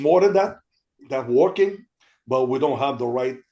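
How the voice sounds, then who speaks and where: With a Quebec accent, a man speaks in a fairly high voice with ordinary pitch variation. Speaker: army veteran and veterans' career program representative. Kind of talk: panel discussion. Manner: halting, many fillers and repetitions.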